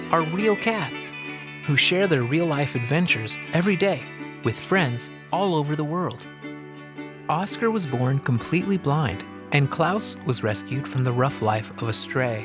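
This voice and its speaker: A man's fairly high voice at a moderate pace, pitch swinging very widely, with music in the background. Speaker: audiobook narrator. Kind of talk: children's audiobook narration.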